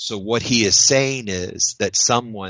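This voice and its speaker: A man with an American accent has an unremarkable speaking voice. It is fairly low in pitch, with ordinary pitch variation. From US South, Florida. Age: 50s. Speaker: writer and spiritual seeker. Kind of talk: interview.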